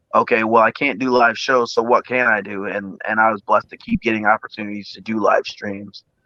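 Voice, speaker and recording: A man with a Midwestern US accent talks fairly quickly with hardly any pauses, in a bright, sharp tone at medium pitch, his flat, monotone intonation paired with big swings in loudness, all in a dry, close sound with no echo. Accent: US Midwest. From Iowa, Quad Cities. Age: 30s. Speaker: singer. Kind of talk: casual interview.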